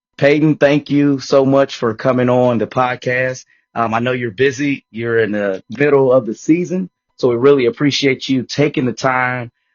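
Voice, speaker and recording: This man has an American accent and a medium pitch, speaking at a moderate pace with fairly even intonation. Music plays in the background. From Detroit. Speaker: podcast host, coach. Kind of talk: interview. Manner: halting, repeats words.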